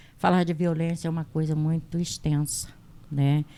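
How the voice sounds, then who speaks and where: A dark, mellow female voice against a silent background, very cleanly recorded. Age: 60s. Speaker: health agent and women's rights activist. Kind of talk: testimony.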